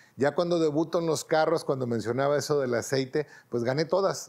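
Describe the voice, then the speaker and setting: A man speaks with a Mexican accent. His pitch is fairly high. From Mexico. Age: 50s. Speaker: racing driver; interviewee. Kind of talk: interview monologue. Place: home room.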